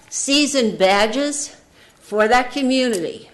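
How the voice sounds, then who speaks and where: A woman speaks with an American accent and lively intonation. Noticeable background noise is present. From New Jersey (Jersey Shore). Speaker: public commenter at county meeting. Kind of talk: public comment speech. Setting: county commission meeting room.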